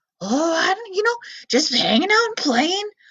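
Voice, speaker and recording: A woman puts on a character voice with an extremely high pitch. She speaks at a moderate pace. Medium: read story. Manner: eager, chatty.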